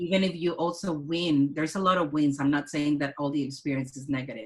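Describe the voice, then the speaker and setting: The speaker has a Mexican accent and talks at a very fast pace. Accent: Mexican Spanish accent, moderate to thick. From Mexico, Culiacan. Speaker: artist and curator. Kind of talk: casual interview conversation.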